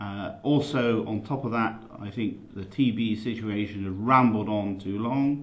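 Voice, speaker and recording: Slowed to a very slow pace, a man talks in a West Country accent with audible room echo. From England, Somerset. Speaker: dairy farmer running for union president. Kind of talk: campaign statement. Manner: halting, many fillers.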